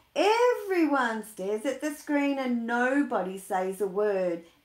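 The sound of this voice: The speech comes at a slow pace with lively intonation, and audible room echo surrounds it. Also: woman.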